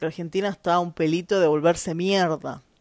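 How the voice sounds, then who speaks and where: With an animated tone and a moderate pace, the voice comes through on a very clean recording with a silent background. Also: woman. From Chile. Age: 30s. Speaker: podcaster. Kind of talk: opinion monologue.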